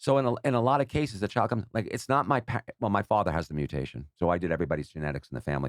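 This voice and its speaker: A man talks at a very fast pace with an American accent and vocal fry. His pitch swings very widely. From New York. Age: 60s. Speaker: social media personality and gambler. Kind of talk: casual podcast interview.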